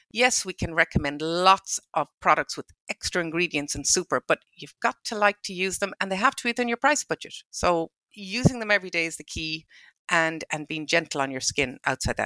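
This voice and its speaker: In a western Irish accent, the speaker talks at a fairly quick pace with lively intonation, a bright, sharp tone and big swings in loudness, in a dry, close sound with no echo. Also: woman, fairly low pitch for a woman. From Ireland, County Mayo. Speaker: pharmacist. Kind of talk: casual chat.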